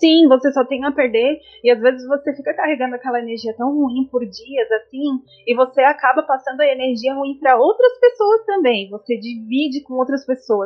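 Her voice sits high, and the woman's pitch moves in an ordinary way. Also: moderate pace. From Santa Catarina highlands, Brazil. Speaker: mother and aesthetics student. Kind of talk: casual interview.

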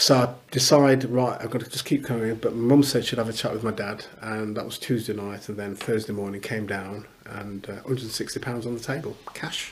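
Over noticeable background noise, a man speaks at a medium pitch with fairly even intonation and hardly any pauses. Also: moderate pace, big swings in loudness. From English Midlands (Newark, Leicester). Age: 60s. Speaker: pastor and football club chaplain. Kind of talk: casual interview.

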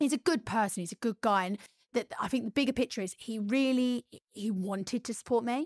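Recorded very cleanly against a silent background with a dry, close sound and no echo, a woman with a plain, everyday voice and a fairly high pitch speaks at a fairly quick pace with ordinary pitch variation. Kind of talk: casual chat.

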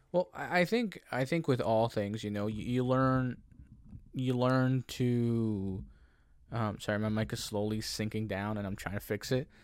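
Over a silent background in a very clean recording, a man with a plain, everyday voice talks at a fairly slow pace, at medium pitch with ordinary pitch variation. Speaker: podcast host. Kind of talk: casual chat. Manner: joking, talkative.

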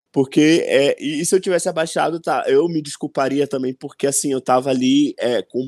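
A man speaks at a moderate pace in a normal speaking voice with fairly even intonation, recorded very cleanly with a silent background and a dry, close sound with no echo. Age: 20s. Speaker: author. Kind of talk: casual interview.

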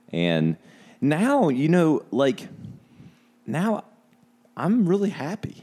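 There are long, frequent pauses as a man talks at a very slow pace. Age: 40s. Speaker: ad agency owner. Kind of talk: casual chat.

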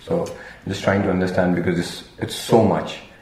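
A man's voice with noticeable background noise. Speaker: podcast host. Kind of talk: casual interview chat.

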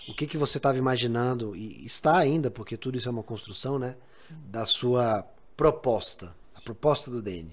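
This man has an unremarkable speaking voice, pitched medium with ordinary variation, and he talks at a moderate pace. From Bahia, Brazil. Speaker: podcast host. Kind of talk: casual interview.

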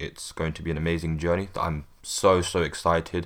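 A man speaks at a moderate pace in a very deep, low voice with flat, monotone intonation, on a very clean recording with a silent background. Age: 20s. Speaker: hip-hop review podcast host. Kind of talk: solo podcast monologue.

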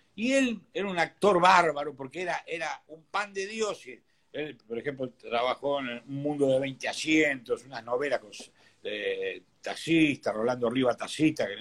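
This man has a normal speaking voice, fairly high in pitch, and lively intonation. He speaks at a fairly slow pace. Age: 60s. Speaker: businessman and boxing sponsor. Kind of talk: interview.

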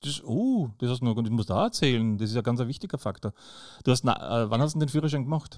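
A man speaks at a very fast pace with a medium pitch and ordinary pitch variation, in a very clean recording with a silent background. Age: 50s. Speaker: podcast host, visually impaired. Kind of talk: casual interview.

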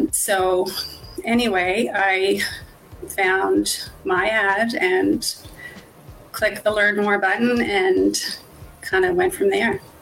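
A woman speaks at a very slow pace with long, frequent pauses, her loudness very even against noticeable background noise. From Nova Scotia, Canada. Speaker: dental worker turned online business owner. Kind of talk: live-stream interview. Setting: online live stream.

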